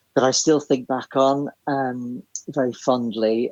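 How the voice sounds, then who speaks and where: Slowly, very slowly, a man speaks at medium pitch with fairly even intonation. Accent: Northern Irish. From Northern Ireland, Belfast. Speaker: theatre writer and composer. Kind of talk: casual chat.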